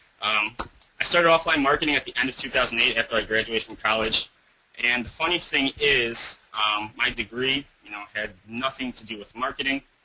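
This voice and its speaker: Speaking at a fairly quick pace and medium pitch, a man shows ordinary pitch variation and big swings in loudness. Noticeable background noise runs underneath. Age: 20s. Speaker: offline marketing business owner. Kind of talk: webinar presentation. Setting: online webinar. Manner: animated.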